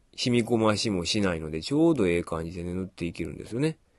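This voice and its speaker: A man against a quiet background. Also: dry, close sound with no echo. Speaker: painting tutor and shop owner. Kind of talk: tutorial. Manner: casual.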